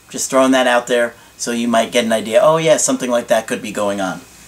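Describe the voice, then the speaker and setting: Over noticeable background noise, a man talks at a very fast pace with a medium pitch. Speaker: relationship coach. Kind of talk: advice monologue to camera.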